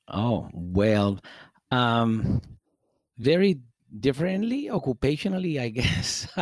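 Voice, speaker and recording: With a Spanish accent, a man talks at a very slow pace and medium pitch, making very wide pitch swings and long, frequent pauses. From Guatemala, Guatemala City. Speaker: salsa DJ. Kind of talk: casual chat. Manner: halting, many fillers.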